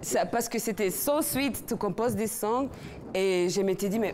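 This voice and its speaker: A woman with a medium pitch speaks at a very slow pace, her intonation lively. Noticeable background noise is present. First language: not French (speaking French). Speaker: singer. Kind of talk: interview. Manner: halting.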